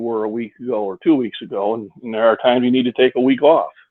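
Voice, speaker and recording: A man with a plain, everyday voice, medium pitch and fairly even intonation at a fairly quick pace. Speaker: powerlifter and trainer. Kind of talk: casual interview.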